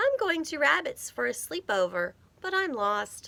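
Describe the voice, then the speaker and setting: Putting on a squeaky character voice, a woman speaks high-pitched at a moderate pace. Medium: read story.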